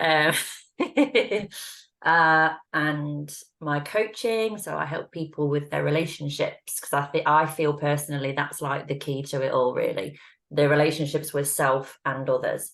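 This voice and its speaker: A woman with an English accent and a very deep, low pitch, speaking at a fairly slow pace with ordinary pitch variation. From England. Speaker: intuitive reader and relationship coach. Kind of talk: casual chat.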